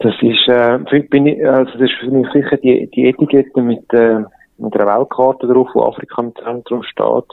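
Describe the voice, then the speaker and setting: Speaking at a fairly slow pace, a man of medium pitch keeps a monotone, flat intonation. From Switzerland, Eglisau (canton of Zurich). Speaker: entrepreneur, trained graphic designer. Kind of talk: interview.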